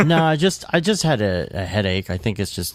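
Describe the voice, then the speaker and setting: A man's voice with lively intonation, vocal fry, and a moderate pace. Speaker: motion graphics podcast host. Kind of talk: casual chat. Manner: quiet.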